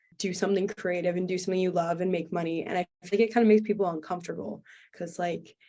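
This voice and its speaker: In a Canadian accent, a woman speaks at a medium pitch. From western Canada, Vancouver. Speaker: singer-songwriter. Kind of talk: casual interview. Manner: animated.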